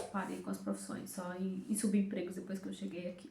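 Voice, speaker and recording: Talking at a fairly quick pace, a woman is heard with audible room echo and noticeable background noise. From Brazil, Fortaleza, Ceará (Northeast). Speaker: immigrant vlogger. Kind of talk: casual chat.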